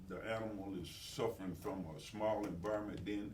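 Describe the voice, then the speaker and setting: Audible room echo surrounds a man's somewhat breathy voice. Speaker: mayor chairing city meeting. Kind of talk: city council meeting report. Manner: fast; halting, many fillers.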